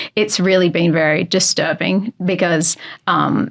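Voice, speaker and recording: With monotone, flat intonation, a woman's voice stays at a fairly low pitch. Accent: Australian. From Australia. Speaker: podcast host. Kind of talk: interview conversation.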